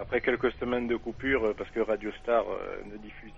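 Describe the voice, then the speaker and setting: This male voice sits at a medium pitch. It moves at a moderate pace. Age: 20s. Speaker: caller. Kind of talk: call-in debate.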